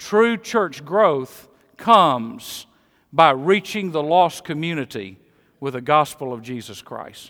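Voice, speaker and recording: A man with a Mississippi accent, fairly high-pitched and bright, sharp in tone, with very wide pitch swings, big swings in loudness and a very slow pace, in a very clean recording with a silent background. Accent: Southern US (Mississippi). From Mississippi, US South. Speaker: pastor. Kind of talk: sermon. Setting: church.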